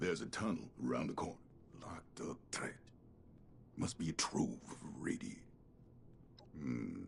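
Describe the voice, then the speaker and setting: A man performs a put-on character voice with long, frequent pauses. Clear background noise can be heard. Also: moderate pace. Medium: video game. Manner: curt, gruff.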